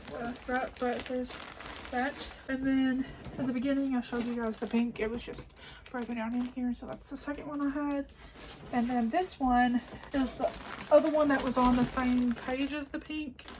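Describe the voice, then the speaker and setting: Someone with an American accent talks at a moderate pace, leaving long, frequent pauses. Noticeable background noise runs underneath. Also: woman. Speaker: crochet YouTuber. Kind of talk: haul video, casual chat to camera. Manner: animated.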